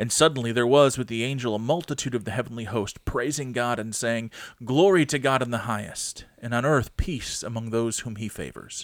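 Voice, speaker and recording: Here a man with a normal speaking voice talks at a fairly quick pace with hardly any pauses and ordinary pitch variation. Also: medium pitch for a man. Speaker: pastor. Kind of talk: casual chat between co-host pastors, podcast. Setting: studio, recorded podcast. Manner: friendly, easygoing, conversational.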